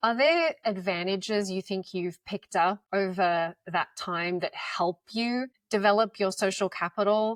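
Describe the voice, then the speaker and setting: Speaking with an Australian accent, a woman has a medium pitch. The recording is very clean, with a silent background and a dry, close sound with no echo. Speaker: podcast co-host. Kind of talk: podcast interview.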